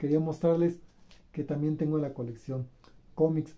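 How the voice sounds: Here a man's dark, mellow tone sits at a fairly high pitch, with ordinary pitch variation.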